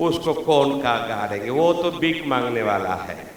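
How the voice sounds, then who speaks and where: A man in a Tamil accent speaks with lively intonation against noticeable background noise and audible room echo. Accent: Tamil-accented Hindi. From Tamil Nadu, India (Dharmapuri/Krishnagiri). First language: Tamil (speaking Hindi). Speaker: pastor. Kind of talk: sermon. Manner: animated.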